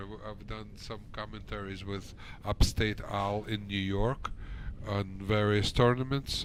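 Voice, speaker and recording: Audible room echo around a man's fairly low voice, very slow in pace. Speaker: pool commentator. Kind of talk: live commentary. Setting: pool hall broadcast. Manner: speaking low.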